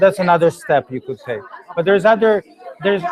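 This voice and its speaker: A man talks with a high pitch. Crowd noise can be heard in the background. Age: 40s. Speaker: energy healing teacher. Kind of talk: Q&A after a workshop. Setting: public talk without microphone.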